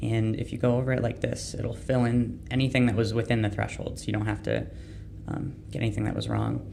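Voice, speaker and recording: Noticeable background noise under a man talking at a fairly quick pace. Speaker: university engineering student. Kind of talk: screen-recorded software demo walkthrough. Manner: casual, hesitant with many fillers.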